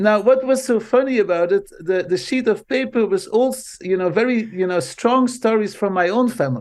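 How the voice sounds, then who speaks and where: A man with a Dutch accent speaks in a high voice. He barely pauses, and the background is quiet. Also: ordinary pitch variation, moderate pace. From Belgium (Flanders). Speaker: marketing professor. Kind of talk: interview. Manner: animated.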